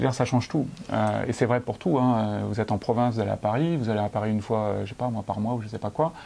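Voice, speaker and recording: A man speaks at a very fast pace in a fairly low pitch with ordinary pitch variation. His tone is dark and mellow. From France. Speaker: entrepreneur. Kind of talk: casual interview. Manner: halting, many fillers.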